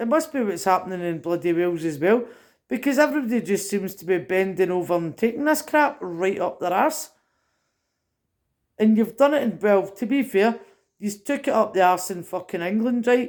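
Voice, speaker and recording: On a very clean recording with a silent background, a woman with a Scottish accent speaks at a moderate pace and medium pitch with lively intonation. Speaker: political commentator vlogger. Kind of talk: rant. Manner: animated.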